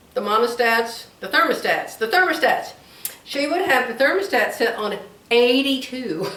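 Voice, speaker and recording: A woman with a high pitch and very wide pitch swings speaks at a moderate pace amid audible room echo. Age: 70s. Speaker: crafts YouTuber. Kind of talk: casual vlog chat. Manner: rambling, repetitive.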